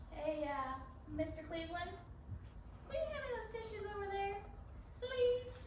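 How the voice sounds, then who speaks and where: A squeaky put-on character voice moves at a moderate pace with long, frequent pauses, slight echo and loud background noise. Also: woman, extremely high pitch for a woman. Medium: stage play. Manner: dry, sarcastic.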